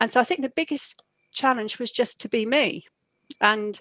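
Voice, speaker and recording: In an English accent, a woman talks at a moderate pace, the sound dry and close with no echo. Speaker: university leader. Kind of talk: interview. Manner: halting.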